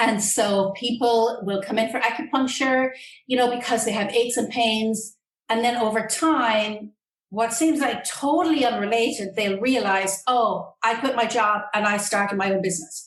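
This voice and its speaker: An Irish-accented woman with a fairly high pitch, ordinary pitch variation, a moderate pace and very even loudness. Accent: Irish lilt. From Ireland. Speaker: acupuncturist and Qigong instructor. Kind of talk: interview answer.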